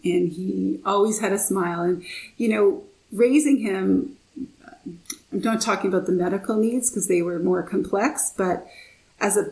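A woman speaks at a moderate pace and a medium pitch with lively intonation. It is an ordinary speaking voice. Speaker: author and mother of a son with a rare disease. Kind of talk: casual interview chat. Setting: video call.

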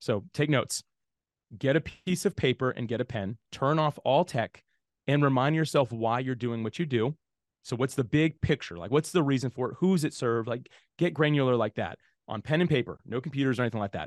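A man speaks in an ordinary speaking voice with an American accent, at a medium pitch with ordinary pitch variation. The background is quiet, and the sound is dry and close with no echo. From Jacksonville, Florida, US. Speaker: podcasting software founder. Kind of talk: interview.

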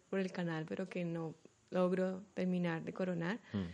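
At a moderate pace, a woman speaks in a fairly low voice with a dark, mellow tone. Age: 30s. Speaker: physician and birth attendant. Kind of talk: interview conversation.

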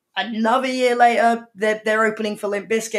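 A woman with a fairly high pitch speaks in a southern English accent. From England, Surrey near London. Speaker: music magazine editor. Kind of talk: interview.

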